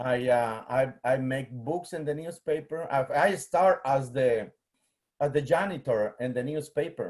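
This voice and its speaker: A man with a Guatemalan accent and a fairly high pitch talks fairly slowly, with ordinary pitch variation. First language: Spanish. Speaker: museum collections manager, biologist. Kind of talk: presentation. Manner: halting, many fillers.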